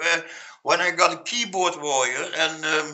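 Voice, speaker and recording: Noticeable background noise sits behind a man with a Dutch accent. He speaks at a fairly slow pace with lively intonation. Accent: Dutch accent, non-native English. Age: 40s. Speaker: Facebook group founder, construction worker. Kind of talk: interview. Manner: halting, many fillers and repetitions.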